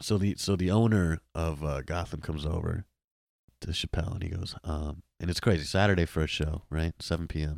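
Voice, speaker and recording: With a New York accent, a man talks at a fairly quick pace in a very deep, low voice with fairly even intonation. The recording is very clean with a silent background, and the sound is dry and close with no echo. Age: 20s. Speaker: comedian and podcaster. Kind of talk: casual chat.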